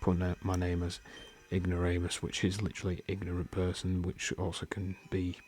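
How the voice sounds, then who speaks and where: A man speaks in a very deep, low voice with flat, monotone intonation and a somewhat breathy quality. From northern England, Yorkshire. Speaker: gaming YouTuber. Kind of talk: let's play gaming commentary.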